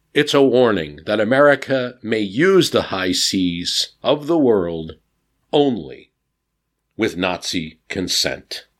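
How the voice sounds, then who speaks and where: A man with a medium-pitched voice speaks very slowly, his pitch swinging very widely, on a very clean recording with a silent background. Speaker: history podcast narrator. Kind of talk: history documentary narration. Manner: measured, storytelling tone.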